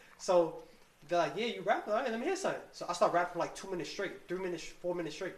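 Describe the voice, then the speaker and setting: A woman talks at a very fast pace with a medium pitch. There is noticeable background noise and audible room echo. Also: ordinary pitch variation. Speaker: rapper. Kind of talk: casual chat.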